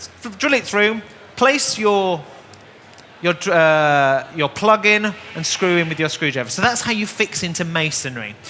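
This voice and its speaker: With a northern English accent, a man talks at a fairly slow pace, his high pitch swinging very widely. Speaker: DIY presenter. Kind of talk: live demonstration. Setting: stage with audience.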